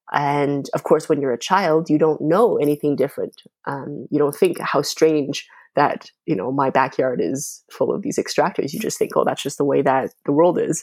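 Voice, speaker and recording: In a Canadian accent, the speaker moves at a moderate pace with ordinary pitch variation on a very clean recording with a silent background. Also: woman, very deep, low pitch for a woman. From Canada (Calgary, Alberta; born in China). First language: Mandarin. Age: 30s. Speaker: podcast host. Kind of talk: interview. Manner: hesitant, many fillers.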